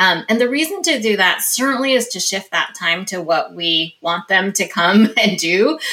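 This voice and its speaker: A woman has an unremarkable speaking voice and talks at a moderate pace. Her intonation is lively. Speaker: company executive. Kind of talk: interview.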